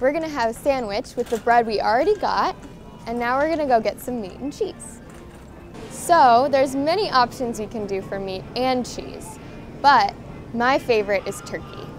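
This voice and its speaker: A woman's high voice at a moderate pace, with big swings in loudness and clear music in the background. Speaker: language teacher. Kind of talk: tutorial. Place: shop. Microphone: camera far.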